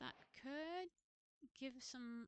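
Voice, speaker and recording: A woman with a non-native accent and high pitch speaks with ordinary pitch variation in a dry, close sound with no echo. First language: not English. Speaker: streamer, gamer. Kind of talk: live-stream gameplay commentary. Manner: halting, thinking aloud.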